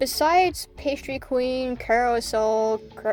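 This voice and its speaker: A woman speaks with music in the background. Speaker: gaming YouTuber. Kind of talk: gameplay commentary. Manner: casual; halting.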